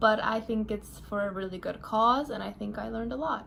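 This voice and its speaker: A woman talks at a moderate pace with a fairly high pitch. It is a plain, everyday voice. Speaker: finance worker and video creator. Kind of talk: personal vlog monologue.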